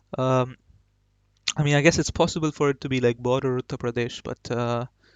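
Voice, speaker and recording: A man with a Marathi accent speaks at medium pitch. He keeps a fairly quick pace and fairly even intonation. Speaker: gaming YouTuber. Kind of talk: gameplay commentary. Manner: casual, hesitant with fillers.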